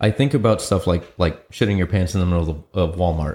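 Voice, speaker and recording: In a very clean recording with a silent background, a man with a very deep, low pitch talks at a fairly quick pace, somewhat breathy, with ordinary pitch variation. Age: 40s. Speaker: podcast co-host. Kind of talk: casual chat. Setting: studio.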